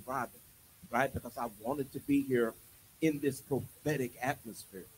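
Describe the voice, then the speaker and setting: His delivery is animated. The man's voice comes through somewhat breathy. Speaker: preacher. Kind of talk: sermon.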